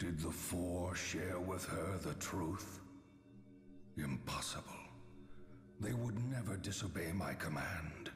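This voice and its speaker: In a put-on character voice, a man speaks with a very deep, low pitch at a fairly slow pace, taking long, frequent pauses amid clear echo and clear background noise. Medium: video game. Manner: archaic, grave.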